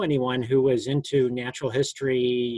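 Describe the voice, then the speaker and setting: The speaker is a man. He talks with a Mid-Atlantic accent. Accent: American, Mid-Atlantic. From US, Maryland. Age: 60s. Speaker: biologist. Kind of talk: interview. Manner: halting.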